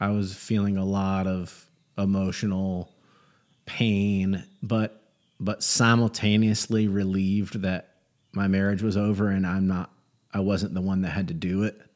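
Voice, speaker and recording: A man with an American accent speaks at a fairly slow pace, in a fairly low pitch with monotone, flat intonation. His loudness stays very even, and the recording is very clean with a silent background. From North Carolina, Gastonia. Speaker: comedian. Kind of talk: casual chat.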